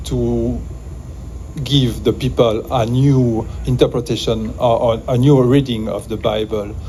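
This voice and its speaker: A man speaks with a French accent in a room with audible echo. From Switzerland, Valais. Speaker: music producer. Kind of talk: improvised speech. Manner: halting, many fillers.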